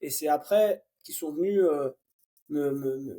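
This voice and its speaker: A man's fairly high voice with a dark, mellow tone. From Paris region, France. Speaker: professional footballer. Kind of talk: interview. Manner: casual.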